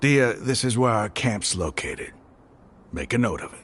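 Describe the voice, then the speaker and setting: A man puts on a character voice that is raspy, at a medium pitch. He goes at a moderate pace with ordinary pitch variation. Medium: video game.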